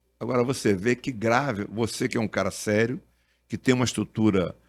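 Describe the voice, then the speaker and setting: Speech unfolds at a moderate pace. Behind it, the background is silent on a very clean recording. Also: man. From Brazil, Duque de Caxias (Rio de Janeiro). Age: 70s. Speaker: doctor and former politician. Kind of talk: podcast interview. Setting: studio. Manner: animated.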